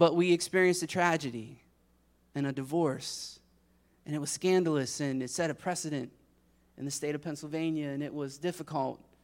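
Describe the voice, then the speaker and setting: On a very clean recording with a silent background, a man with a fairly high pitch talks at a fairly quick pace, broken by long, frequent pauses. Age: 40s. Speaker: pastor. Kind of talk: sermon. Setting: church. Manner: animated.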